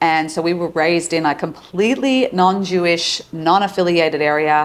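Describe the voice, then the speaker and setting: A woman's fairly low voice with an Australian accent and ordinary pitch variation. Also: moderate pace. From Australia, Sydney. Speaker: psychologist and relationship coach. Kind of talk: casual interview.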